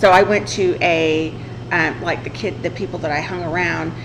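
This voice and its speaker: A woman with a strong Southern US accent speaks in a fairly low voice, with audible room echo and noticeable background noise. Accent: thick southern twang. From southern Illinois. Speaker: podcast host. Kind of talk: casual chat.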